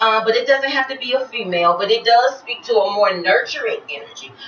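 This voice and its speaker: Fairly quick speech from a woman with a high-pitched voice and a Florida accent, over noticeable background noise. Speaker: tarot reader. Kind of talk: tarot reading.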